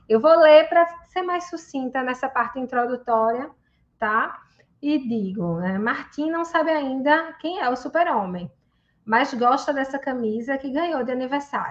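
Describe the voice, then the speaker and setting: In a Recife accent, a woman speaks fairly slowly at a high pitch against a quiet background. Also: lively intonation. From Brazil, Recife, Pernambuco. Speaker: psychologist and researcher. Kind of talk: reading aloud; conference talk. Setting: video call from her office.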